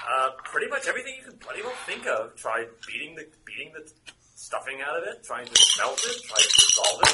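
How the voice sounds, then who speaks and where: A man's voice shows big swings in loudness. Noticeable background noise is present throughout. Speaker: game master running a tabletop RPG. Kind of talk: tabletop roleplaying game session narration. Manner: halting, with frequent fillers.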